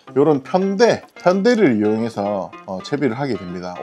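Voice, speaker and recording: Music plays in the background as a man talks at medium pitch and a moderate pace. His pitch swings very widely. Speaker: fishing instructor. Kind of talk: casual instructional talk to camera.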